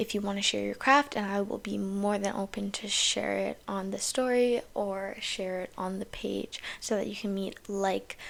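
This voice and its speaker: A very clean recording with a silent background captures speech at a moderate pace. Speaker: podcast host. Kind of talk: casual solo podcast monologue. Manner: animated.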